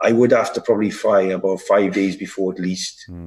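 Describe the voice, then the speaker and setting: Speaking at a moderate pace, a man has a strong Welsh accent. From Wales. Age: 30s. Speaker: bodybuilder and fitness coach. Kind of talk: casual interview. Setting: video call from Dubai.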